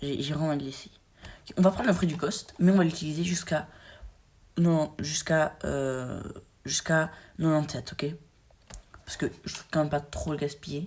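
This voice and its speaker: An animated tone at a moderate pace, with big swings in loudness and long, frequent pauses. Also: woman, very deep, low pitch for a woman. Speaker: gaming YouTuber. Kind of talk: gameplay commentary. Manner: halting.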